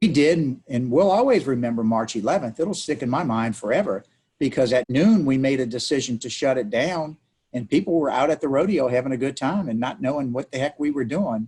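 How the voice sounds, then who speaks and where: A man with a dark, mellow tone speaks using lively intonation. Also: medium pitch for a man. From New Orleans, Louisiana. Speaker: city council member. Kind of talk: interview. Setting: video call.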